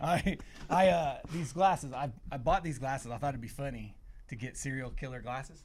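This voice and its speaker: A man with a slight Southern US accent speaks at a fairly quick pace and fairly high pitch. His voice is somewhat breathy, with ordinary pitch variation and big swings in loudness. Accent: slight Southern twang. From Ohio. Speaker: band member. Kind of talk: casual chat.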